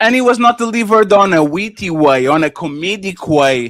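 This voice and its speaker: A man at a moderate pace with a non-native accent, animated in tone and swinging very widely in pitch. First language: not English. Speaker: panel podcast co-host. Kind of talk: casual panel discussion.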